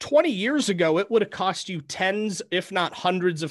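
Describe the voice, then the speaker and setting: Someone with an American accent and an unremarkable speaking voice talks at a moderate pace with lively intonation against a quiet background. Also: man. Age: 20s. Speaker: podcast host. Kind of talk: casual interview chat.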